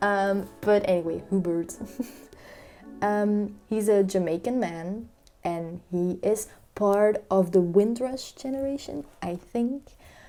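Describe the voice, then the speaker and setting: Very slowly, a woman with a Flemish Belgian accent speaks at medium pitch, her tone dark and mellow and her pitch variation ordinary. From Flanders, Belgium. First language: Dutch (Flemish). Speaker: book vlogger. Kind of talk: casual book review vlog. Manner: casual, many filler ums.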